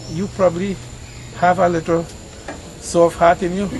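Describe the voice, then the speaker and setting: A man with a Trinidadian accent talks at a high pitch over noticeable background noise. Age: 60s. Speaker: farmer. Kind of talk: emotional plea, outdoors conversation. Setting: outdoors. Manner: distressed, pleading.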